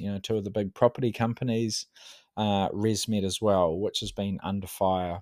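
A man with a New Zealand accent speaks at a moderate pace in a fairly low, dark and mellow voice with flat, monotone intonation. The recording is very clean, with a silent background and a dry, close sound with no echo. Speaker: investment director, market commentator. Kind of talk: solo market commentary podcast. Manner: casual with frequent filler words.

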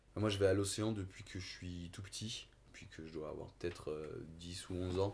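With big swings in loudness but hardly any pauses, a man talks in a very deep, low, somewhat breathy voice and a flat, monotone intonation. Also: moderate pace. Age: 20s. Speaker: engineer and podcast co-host. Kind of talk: casual chat. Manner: halting.

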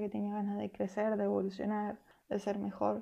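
With lively intonation, a woman talks in a normal speaking voice. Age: 20s. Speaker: podcaster. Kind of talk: casual monologue.

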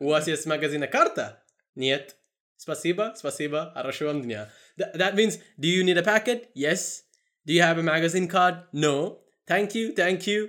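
On a very clean recording with a silent background, a man with an Indian accent speaks at a moderate pace and high pitch in a bright, sharp, animated tone, with ordinary pitch variation and long, frequent pauses. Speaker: podcast host. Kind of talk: casual chat.

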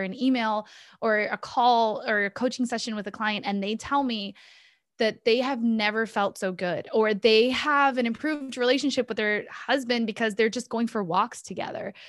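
In a very clean recording with a silent background, a woman with an American accent talks at a fairly high pitch with fairly even intonation. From Boston, US (childhood) and Brazil (teens). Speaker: nutrition coach. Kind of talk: casual interview.

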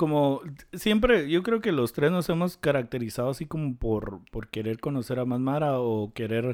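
The speaker has lively intonation and a Guatemalan accent. The recording is very clean, with a silent background. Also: man, fairly high pitch for a man, moderate pace. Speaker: podcast co-host. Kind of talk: casual chat.

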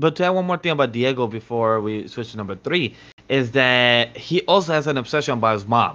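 A bright, sharp tone with lively intonation at a fairly quick pace, over a quiet background. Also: man, medium pitch for a man. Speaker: podcast guest, anime podcaster. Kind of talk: casual chat. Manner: occasional stutter.

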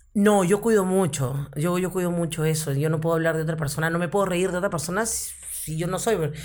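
Audible room echo carries a woman's fairly low voice as she speaks at a very fast pace. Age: 40s. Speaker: comedian. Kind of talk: casual chat.

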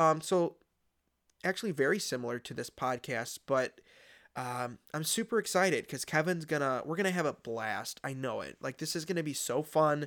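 A man with an unremarkable speaking voice talks at a moderate pace, fairly high in pitch with ordinary pitch variation, on a very clean recording with a silent background. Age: young. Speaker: podcast host, recent high school graduate. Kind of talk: casual chat. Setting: makeshift home studio. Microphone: new microphone.

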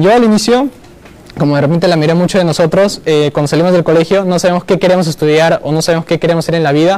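Very fast speech from a man with a high pitch, ordinary pitch variation, and noticeable background noise. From Peru, Lima (born in Iquitos). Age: 20s. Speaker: digital marketer and business coach. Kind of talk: live conference talk. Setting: stage with live audience. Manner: animated; halting, many fillers.

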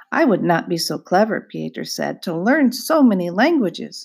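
With lively intonation and a moderate pace, a woman talks in an ordinary speaking voice. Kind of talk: audiobook reading. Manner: gentle, wistful, measured.

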